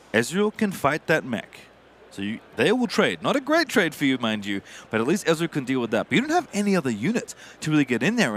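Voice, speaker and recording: A man speaks with a fairly high pitch and vocal fry. His pitch swings very widely. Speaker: esports caster. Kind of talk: live commentary. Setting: live event venue.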